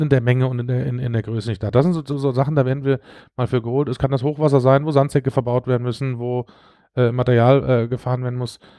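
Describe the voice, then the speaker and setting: Over a quiet background, a man rattles along at a very fast pace, his medium-pitched voice dark and mellow in tone and monotone, flat in intonation. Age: 40s. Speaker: civil protection volunteer leader. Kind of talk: casual interview. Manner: halting, many filler sounds.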